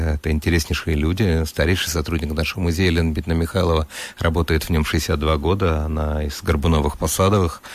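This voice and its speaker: A man speaks very fast in a very deep, low pitch with monotone, flat intonation. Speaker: professor and museum director. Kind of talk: radio interview. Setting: radio studio.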